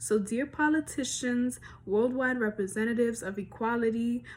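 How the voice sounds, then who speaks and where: A woman's fairly high voice, an unremarkable speaking voice, keeps to a medium tempo. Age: young. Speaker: spoken word poet. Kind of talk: spoken word poetry performance.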